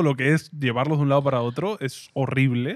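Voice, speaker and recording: Speaking with a Peruvian accent, the voice sounds dry with no echo against a quiet background. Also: man. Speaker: podcast host. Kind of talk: casual chat. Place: studio. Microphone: studio mic.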